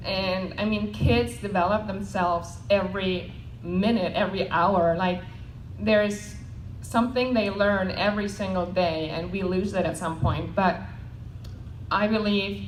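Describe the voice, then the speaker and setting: Speaking at a fairly slow pace with a non-native accent, a woman uses a medium pitch and ordinary pitch variation, with audible room echo and noticeable background noise. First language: not English. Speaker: network marketing panelist. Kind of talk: panel talk.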